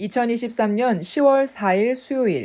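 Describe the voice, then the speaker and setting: In a very clean recording with a silent background, a woman with a fairly high pitch and a dark, mellow tone speaks fairly slowly with ordinary pitch variation. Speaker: voice and speech coach. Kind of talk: news article reading.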